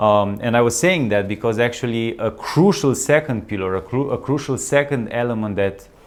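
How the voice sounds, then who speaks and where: Speaking at a moderate pace with hardly any pauses, a man with a slight non-native accent uses a medium pitch and ordinary pitch variation. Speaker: wellness coach, channel host. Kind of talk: casual vlog monologue. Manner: halting, many fillers and restarts.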